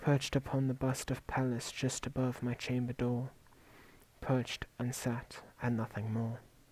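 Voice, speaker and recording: The voice is somewhat breathy, with monotone, flat intonation at a fairly slow pace. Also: man, medium pitch for a man. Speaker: ASMR creator. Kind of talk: soft-spoken poetry reading.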